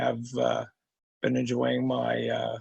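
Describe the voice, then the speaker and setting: A fairly slow pace from a man with an American accent. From New York State, Hudson Valley. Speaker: retired navy veteran and teacher. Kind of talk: interview. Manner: halting, many fillers.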